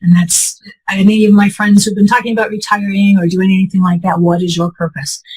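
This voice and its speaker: A woman talks at a very fast pace and a medium pitch. Her voice is somewhat breathy, with fairly even intonation. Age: 60s. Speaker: patient sharing health story. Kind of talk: interview testimony.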